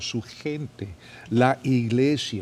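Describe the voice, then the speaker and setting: The man speaks at a medium pitch. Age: 70s. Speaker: pastor and podcast host. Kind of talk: casual interview chat. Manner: halting, repeats words.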